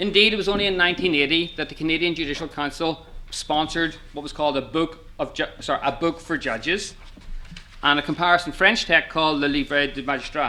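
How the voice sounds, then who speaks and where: At a fairly quick pace, a man with an Irish accent talks in fairly even intonation. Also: fairly high pitch for a man. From Ireland. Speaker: law professor. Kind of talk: conference talk.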